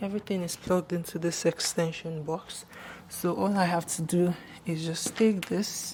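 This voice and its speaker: A quiet woman's voice, fairly low in pitch, monotone and flat, at a moderate pace. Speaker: beauty YouTuber. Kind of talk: casual tutorial vlog. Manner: speaking quietly.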